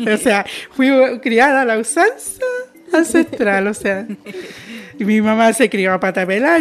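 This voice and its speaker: A woman with a fairly high pitch speaks with lively intonation over noticeable background noise. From southern Chile, Mapuche rural community. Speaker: intercultural educator. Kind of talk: interview testimony.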